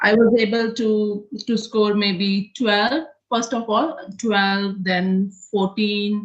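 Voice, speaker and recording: This woman's voice sits at a medium pitch with fairly even intonation. She talks at a very slow pace. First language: not English. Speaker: nursing student. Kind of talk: interview. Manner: halting.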